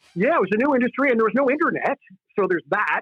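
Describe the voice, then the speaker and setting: An animated man with a Californian accent. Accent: General American (Californian). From US West Coast, Contra Costa County, California. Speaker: stand-up comedian. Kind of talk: interview.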